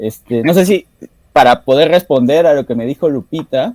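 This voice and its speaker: A man's dark, mellow voice at a moderate pace, with ordinary pitch variation and a dry, close sound free of echo. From Peru, Arequipa. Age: 30s. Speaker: author and university lecturer. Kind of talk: interview. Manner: halting, many fillers.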